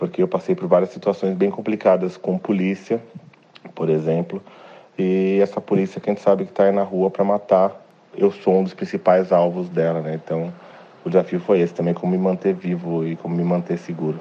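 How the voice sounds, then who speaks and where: A man talks with a very deep, low pitch. His intonation is flat and monotone. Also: moderate pace. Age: 40s. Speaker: activist. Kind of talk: interview.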